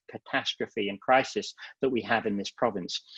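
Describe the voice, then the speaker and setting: With an English accent, the voice comes through dry and close with no echo over a quiet background. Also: man. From England. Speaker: psychiatry professor. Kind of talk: lecture. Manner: fast.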